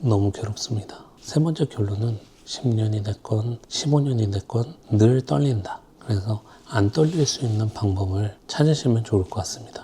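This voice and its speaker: This man's voice sits at medium pitch with ordinary pitch variation. He talks at a fairly slow pace. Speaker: designer. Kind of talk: casual vlog tips. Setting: filming alone. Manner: speeds up when nervous.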